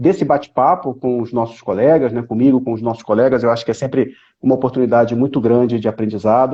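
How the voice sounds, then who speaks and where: At a very fast pace, a man talks on. His intonation stays fairly even. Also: medium pitch for a man. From Brazil, Rio de Janeiro. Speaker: live stream host, professor. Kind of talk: live stream conversation.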